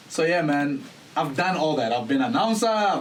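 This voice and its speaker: Amid audible room echo, a man speaks at a fairly quick pace with a high pitch, an animated tone, and lively intonation. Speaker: voice-over artist and actor. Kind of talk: casual podcast interview.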